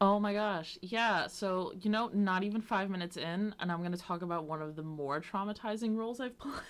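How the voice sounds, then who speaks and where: A woman with an ordinary speaking voice talks at a fairly quick pace with hardly any pauses. Her pitch is medium, with ordinary variation. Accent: American. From US Northeast (Long Island, New York). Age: 20s. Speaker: podcast host. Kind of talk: casual chat.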